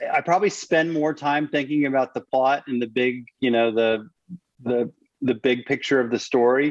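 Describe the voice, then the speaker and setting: At a moderate pace, a man speaks in a medium pitch. His pitch varies in an ordinary way. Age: 50s. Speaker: thriller novelist. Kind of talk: interview. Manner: halting.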